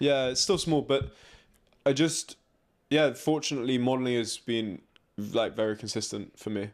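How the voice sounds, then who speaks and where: A man with an English accent at medium pitch and a moderate pace, with ordinary pitch variation, long, frequent pauses and a very clean recording with a silent background. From England. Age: 20s. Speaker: fashion model. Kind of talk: interview.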